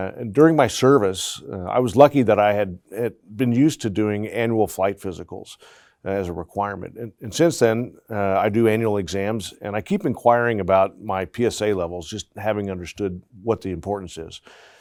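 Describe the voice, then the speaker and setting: A man at a fairly low pitch, with ordinary pitch variation, a fairly quick pace, and big swings in loudness, on a very clean recording with a silent background. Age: 60s. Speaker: navy veteran and prostate cancer patient. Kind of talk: panel interview. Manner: hesitant, many fillers.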